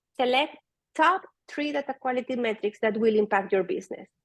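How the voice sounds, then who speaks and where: At a moderate pace, a woman with a Spanish accent speaks at a fairly high pitch with lively intonation in a dry, close sound with no echo. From Venezuela. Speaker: data product manager. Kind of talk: conference talk.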